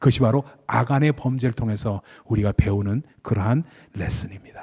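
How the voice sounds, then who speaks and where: Somewhat breathy with a dark, mellow tone, the voice moves at a fairly quick pace with ordinary pitch variation in a dry, close sound with no echo. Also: man, medium pitch for a man. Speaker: pastor. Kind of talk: sermon. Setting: church.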